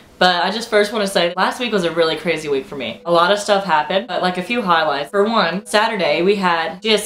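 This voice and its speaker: A woman talks very fast in a fairly low voice with ordinary pitch variation. Noticeable background noise runs underneath. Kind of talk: casual talk to camera. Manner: chatty, informal.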